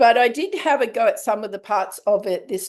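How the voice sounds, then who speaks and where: A woman speaks with a strong Australian accent at a moderate pace. The background is quiet. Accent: broad Australian. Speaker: writing group host. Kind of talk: casual book club discussion. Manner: casual, relaxed.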